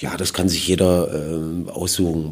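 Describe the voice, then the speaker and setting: A man's very deep, low voice in a flat monotone. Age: 40s. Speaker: football coach. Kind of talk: interview. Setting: football stadium.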